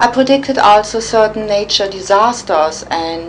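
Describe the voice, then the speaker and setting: Recorded with audible room echo and noticeable background noise, a woman speaks with a German accent. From Germany, Cologne. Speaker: psychic. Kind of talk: interview.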